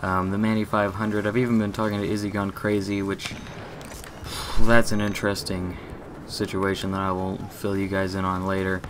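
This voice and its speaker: Against noticeable background noise, a man speaks at a fairly quick pace. His pitch is fairly low and his intonation monotone and flat. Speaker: gaming YouTuber. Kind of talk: live gameplay commentary. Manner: stutters, halting.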